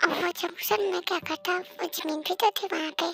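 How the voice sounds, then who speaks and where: A put-on character voice, squeaky and extremely high-pitched, moving at a fairly quick pace. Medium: read story.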